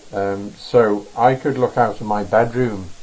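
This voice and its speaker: There is noticeable background noise behind a man's fairly low voice. He speaks at a fairly slow pace with fairly even intonation. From northern England, Wirral. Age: 70s. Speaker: pastel artist. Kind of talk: live painting demonstration. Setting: home art studio, live stream. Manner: relaxed, frequent fillers.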